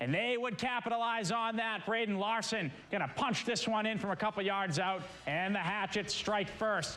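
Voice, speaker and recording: In a raised, projected voice, a man with a high pitch speaks at a moderate pace with an energetic, upbeat tone. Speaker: local TV sports anchor and reporter. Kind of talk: Friday night football highlight show anchor.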